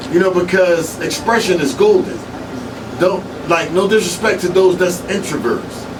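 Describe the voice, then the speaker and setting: A man talks in an animated tone at a high pitch. Audible room echo and noticeable background noise fill the recording. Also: moderate pace. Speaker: hip hop blogger and radio personality. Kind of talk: casual interview. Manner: loud.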